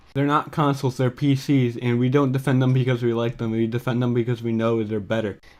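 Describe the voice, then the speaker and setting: The speaker goes very fast with hardly any pauses, in a monotone, flat intonation. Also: man, medium pitch for a man. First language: not English. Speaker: commentary youtuber. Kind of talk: reaction commentary. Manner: sarcastic.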